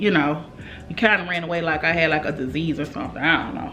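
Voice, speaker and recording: Speaking in an animated tone at a moderate pace, a woman with a fairly low pitch is heard with audible room echo. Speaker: beauty YouTuber. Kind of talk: casual makeup review vlog with storytime rant. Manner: loud.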